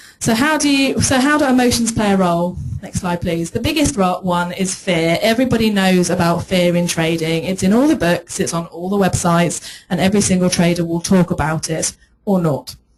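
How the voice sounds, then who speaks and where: A woman with a medium-pitched voice talks fairly quickly while noticeable background noise is present. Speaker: trading psychology coach. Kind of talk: conference talk. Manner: fast.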